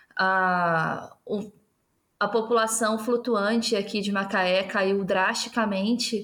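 Her fairly high pitch stays monotone and flat as the woman speaks at a very slow pace, on a very clean recording with a silent background. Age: 20s. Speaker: teacher. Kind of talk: casual political discussion.

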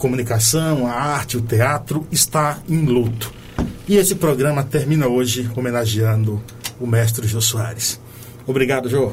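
This man's voice sits at a medium pitch with ordinary pitch variation. His pace is moderate. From Bahia, Brazil. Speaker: radio host. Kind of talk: radio show hosting and interview. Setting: studio in São Paulo. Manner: animated, uses northeastern slang.

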